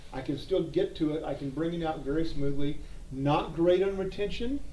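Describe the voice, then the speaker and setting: Audible room echo surrounds the voice. The man talks at a moderate pace. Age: 60s. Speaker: gun holster reviewer. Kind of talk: casual product review. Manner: halting, with fillers.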